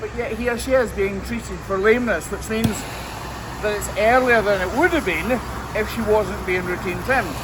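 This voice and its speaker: A man talks at a fairly quick pace with a Scottish accent. Noticeable background noise and audible room echo fill the recording. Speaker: hoof trimmer. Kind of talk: casual work commentary.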